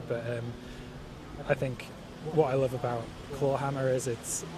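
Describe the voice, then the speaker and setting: There is noticeable background noise as a man with a Geordie accent speaks at a moderate pace. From northeast England, Newcastle. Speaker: banjo player and songwriter. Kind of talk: interview. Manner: halting.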